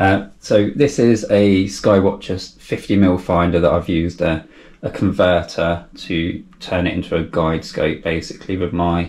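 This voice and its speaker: The man's voice sits at a very deep, low pitch with ordinary pitch variation. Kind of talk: equipment walkthrough. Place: home room.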